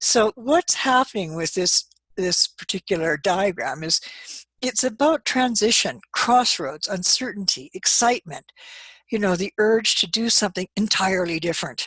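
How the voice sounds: A woman talks at medium pitch and a moderate pace, her tone fairly bright with a slightly husky edge and lively intonation. The sound is dry and close, with no echo.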